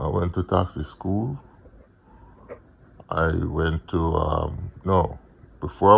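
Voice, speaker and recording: A man speaks with a Jamaican accent. Vocal fry runs through his voice. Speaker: vlogger, music promoter. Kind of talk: casual monologue, personal storytelling. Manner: halting, many fillers.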